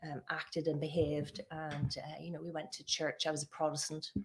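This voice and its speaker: A woman with a Northern Irish accent talks at a fairly quick pace, her very deep, low pitch held in a monotone, flat intonation. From Northern Ireland. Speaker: occupational therapist and church discussion host. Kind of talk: personal testimony in casual chat.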